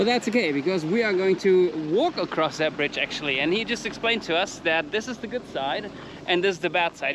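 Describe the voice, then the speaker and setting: The speech comes at a very fast pace. Noticeable background noise sits underneath it. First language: not English. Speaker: motorcycle travel vlogger. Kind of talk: casual travel vlog chat.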